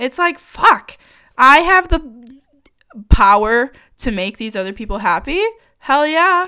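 A woman's high, bright, sharp, raised and projected voice with an American accent, animated, fairly slow, with long, frequent pauses, very wide pitch swings and big shifts in loudness. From Michigan. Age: 20s. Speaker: podcaster. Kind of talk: casual monologue.

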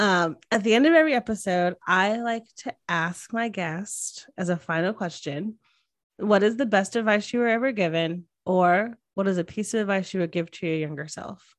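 At a moderate pace, a woman speaks at a medium pitch with ordinary pitch variation, an ordinary speaking voice. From US Northeast, Connecticut. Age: 30s. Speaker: podcast host. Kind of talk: scripted intro and outro reading; casual chat. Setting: video call.

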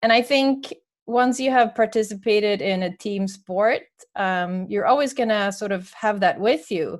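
A woman talks at a moderate pace with a fairly high pitch and ordinary pitch variation. The background is quiet. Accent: Swedish. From Sweden. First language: Swedish. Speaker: author and sports marketing manager. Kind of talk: casual interview conversation.

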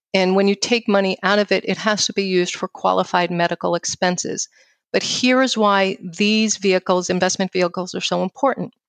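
A woman with a New York accent and medium pitch speaks at a fairly quick pace with fairly even intonation and very even loudness, in a dry, close sound with no echo and a quiet background. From New York City. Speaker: financial firm founder and speaker. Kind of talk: casual interview conversation.

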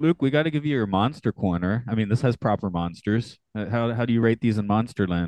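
In a normal speaking voice, the speaker goes at a fairly quick pace with ordinary pitch variation and very even loudness, the sound dry and close with no echo. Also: man, medium pitch for a man. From United States. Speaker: podcast co-host. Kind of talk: casual chat.

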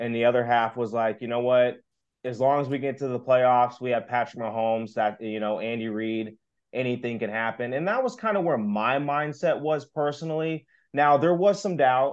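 With an American accent, a man speaks at a moderate pace and medium pitch with ordinary pitch variation. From Kansas City. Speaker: sports fan podcaster. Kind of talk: casual chat. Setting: video call.

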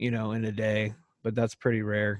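With a Texan accent, a man talks at a medium pitch. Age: 30s. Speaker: country singer-songwriter. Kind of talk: casual chat.

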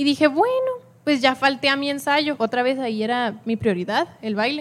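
The woman's intonation is lively. She keeps a moderate pace. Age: 20s. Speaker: student giving church testimony. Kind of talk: testimony. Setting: church with congregation.

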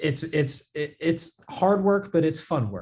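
Over a quiet background, a man with a dark, mellow tone speaks at a fairly slow pace, sounding somewhat breathy. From Las Vegas, US. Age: 20s. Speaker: entrepreneur. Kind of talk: interview.

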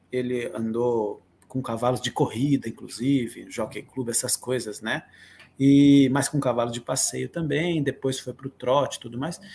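Speaking at a fairly slow pace, a man sounds somewhat breathy, his intonation fairly even. The recording is very clean, with a silent background. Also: medium pitch for a man. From Atibaia, São Paulo state, Brazil. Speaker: musician and composer. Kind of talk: interview.

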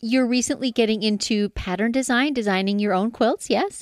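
A woman's normal speaking voice, fairly high in pitch, at a moderate pace in a Canadian accent. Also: very clean recording, silent background. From northern Canada. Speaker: podcast host, quilter. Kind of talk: interview.

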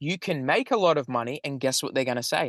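In a normal speaking voice, a man with a fairly high pitch and ordinary pitch variation is heard in a dry, close sound with no echo. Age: 30s. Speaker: business and money coach. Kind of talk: casual interview chat, explaining a mindset-reprogramming method. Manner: fast, run-on sentences with frequent fillers and restarts.

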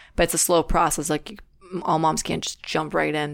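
A woman's very deep, low voice with vocal fry, monotone and flat in intonation, at a moderate pace. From Russia. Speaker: fitness competitor. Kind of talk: interview. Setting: studio. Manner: halting.

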